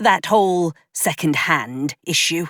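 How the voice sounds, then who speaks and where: Someone does a put-on character voice at middle pitch and a fairly slow pace in a very clean recording with a silent background. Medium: read story. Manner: wary, earnest.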